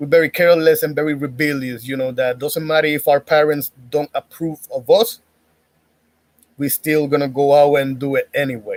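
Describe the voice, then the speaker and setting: Speaking with a Spanish accent, a man keeps a moderate pace and a fairly high pitch in monotone, flat intonation. The sound is dry and close, with no echo. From Puerto Rico. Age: 30s. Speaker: YouTuber giving dating commentary. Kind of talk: casual monologue.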